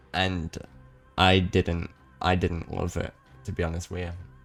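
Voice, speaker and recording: Music plays behind a man with a very deep, low voice. He talks at a fairly slow pace in a monotone, flat intonation. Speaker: speedrunner. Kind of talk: casual gaming commentary. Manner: casual, rambling.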